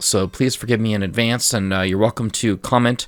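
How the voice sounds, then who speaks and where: With an American accent and a normal speaking voice, a man talks at a fairly low pitch with ordinary pitch variation. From United States. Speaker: gaming video creator. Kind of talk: gameplay commentary. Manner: casual, with frequent fillers.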